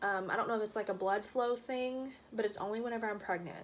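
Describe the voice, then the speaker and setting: Her voice fairly high, a woman speaks with ordinary pitch variation. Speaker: vlogger. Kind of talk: casual chat. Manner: fast.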